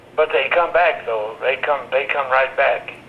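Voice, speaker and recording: Noticeable background noise runs under speech at a fairly slow pace. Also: man. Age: 80s+. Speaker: retired WWII bomber factory inspector. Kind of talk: interview answer.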